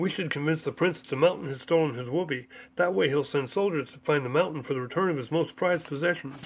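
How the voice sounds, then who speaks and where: A man speaks in a put-on character voice with a fairly high pitch. He talks at a very fast pace. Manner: excitable, impulsive.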